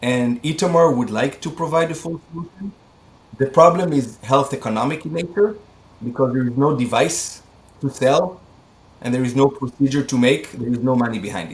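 A man with an Israeli accent talks at a fairly quick pace in a fairly high pitch, with lively intonation. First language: Hebrew. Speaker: medical device company CEO. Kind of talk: interview. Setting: video call.

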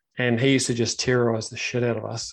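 In a New Zealand accent, a man speaks at a moderate pace and medium pitch with monotone, flat intonation. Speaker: podcast host. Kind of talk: casual interview chat. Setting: live video stream.

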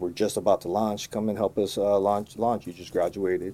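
With a Californian accent, a man speaks at a moderate pace in a fairly low pitch and a dark, mellow tone. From Los Angeles (Koreatown), then Marin County, Bay Area. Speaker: cannabis grower and brand owner. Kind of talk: casual interview. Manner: relaxed, filler-heavy.

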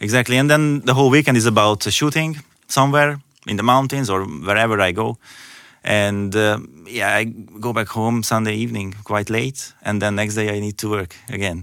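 On a very clean recording with a silent background, a man with a Hungarian accent speaks at a moderate pace and fairly low pitch. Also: ordinary pitch variation. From Hungary. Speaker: landscape photographer. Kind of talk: interview. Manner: hesitant, with fillers.

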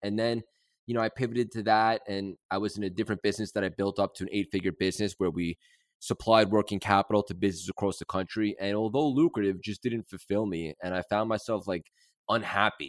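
Talking at a very fast pace, a man with an American accent keeps a fairly low pitch with ordinary variation, in a dry, close sound with no echo on a very clean recording with a silent background. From New York City. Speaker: mindset coach and entrepreneur. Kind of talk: interview. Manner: animated.

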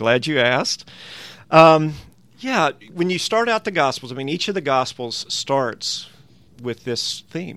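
This man has a Southern US accent and a fairly high, bright, sharp voice with lively intonation. He talks at a fairly slow pace, with long, frequent pauses. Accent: Southern American. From US South, Tennessee. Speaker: New Testament professor. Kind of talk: interview, explaining Bible passages.

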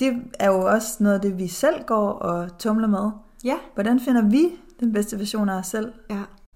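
A woman's unremarkable speaking voice, fairly high in pitch with ordinary variation, at a fairly slow pace. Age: 30s. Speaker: podcast co-host, lifestyle coach. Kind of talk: casual chat.

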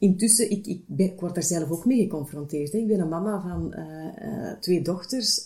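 A woman is speaking here. Her pitch sits in the medium range, with ordinary pitch variation. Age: 30s. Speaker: HR manager. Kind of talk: interview. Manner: hesitant, many filler sounds.

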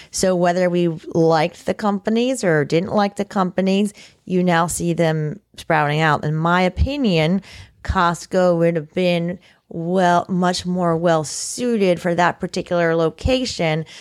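A woman with an American accent speaks in an ordinary speaking voice at a fairly low pitch and a fairly slow pace, with ordinary pitch variation and very even loudness, on a very clean recording with a silent background and a dry, close sound with no echo. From Florida, Martin County (Indiantown). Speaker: county commissioner. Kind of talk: interview.

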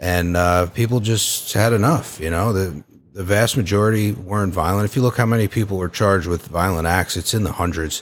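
Here is a man with an ordinary speaking voice and a fairly low pitch. He moves at a fairly quick pace with ordinary pitch variation. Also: hardly any pauses. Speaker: January 6 attendee, guest. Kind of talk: casual chat, firsthand account.

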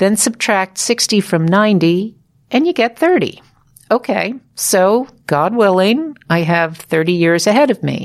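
In an ordinary speaking voice, a woman talks at a fairly slow pace with medium pitch, lively intonation and very even loudness. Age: 60s. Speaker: podcast host and former radio journalist. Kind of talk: scripted narration.

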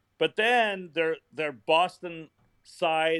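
A man has an unremarkable speaking voice at a fairly high pitch. His pitch variation is ordinary. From Indiana, US Midwest. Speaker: comedy writer and comedian. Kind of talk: interview.

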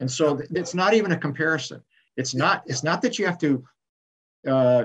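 A man talks at a moderate pace. His pitch is fairly high for a man. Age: 60s. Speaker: retired pastor and author. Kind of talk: interview, reflective testimony.

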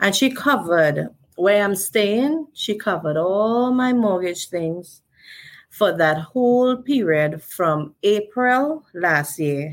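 With a Trinidadian accent and lively intonation, a woman speaks at a very slow pace in a very clean recording with a silent background. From Trinidad and Tobago. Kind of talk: interview.

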